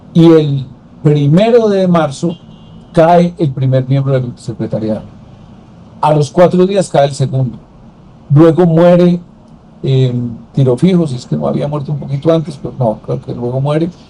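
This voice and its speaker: Somewhat breathy and dark, mellow in tone, a man speaks at a fairly high pitch and a fairly slow pace, with ordinary pitch variation and long, frequent pauses. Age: 70s. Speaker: former senator and political commentator. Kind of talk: interview conversation.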